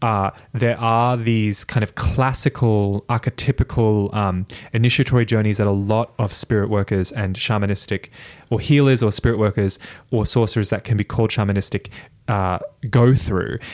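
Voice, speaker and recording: Here a man with an American accent speaks at a moderate pace and fairly low pitch. His intonation is fairly even, and the recording is very clean with a silent background. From Toowoomba, Queensland, Australia. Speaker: witch / practitioner of witchcraft. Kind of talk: casual chat, conversational interview. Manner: laughs often, giggly.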